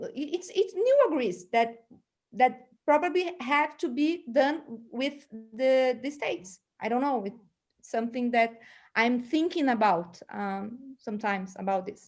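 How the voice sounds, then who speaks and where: Against a silent background in a very clean recording, a woman speaks with a Portuguese accent at a high pitch. Her pace is fairly slow, her intonation lively, and her pauses long and frequent. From Brazil. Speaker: seminar moderator. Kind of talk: panel discussion. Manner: halting.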